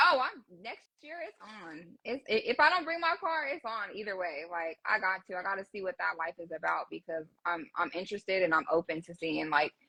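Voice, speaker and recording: A woman's medium-pitched voice at a fairly quick pace, with very wide pitch swings, big swings in loudness and hardly any pauses. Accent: Southern. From California. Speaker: car builder. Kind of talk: casual chat.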